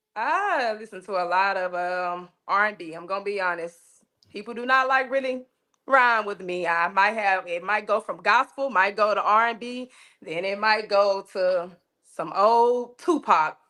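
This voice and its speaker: Her bright, sharp tone comes with big swings in loudness and ordinary pitch variation as the woman speaks. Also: medium pitch for a woman, moderate pace, very clean recording, silent background. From Arkansas, Little Rock. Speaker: interview guest. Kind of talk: casual interview.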